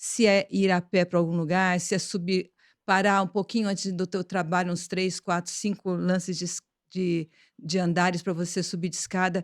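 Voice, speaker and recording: The recording is very clean with a silent background and a dry, close sound with no echo, carrying a woman's monotone, flat intonation. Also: medium pitch for a woman, moderate pace. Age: 60s. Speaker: podcast host and plastic surgeon. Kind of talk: interview podcast chat.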